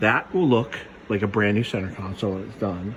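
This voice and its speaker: A quiet man at a fairly slow pace, with ordinary pitch variation and noticeable background noise. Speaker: car hobbyist vlogger. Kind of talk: casual how-to tutorial. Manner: quiet, hushed.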